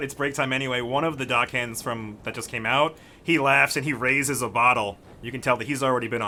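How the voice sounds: What you hear is a natural reading voice.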